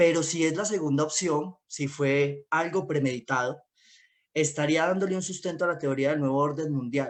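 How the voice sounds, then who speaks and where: A man talks at a moderate pace with ordinary pitch variation. He has an ordinary speaking voice, fairly high in pitch. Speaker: independent communicator. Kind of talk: panel discussion talk.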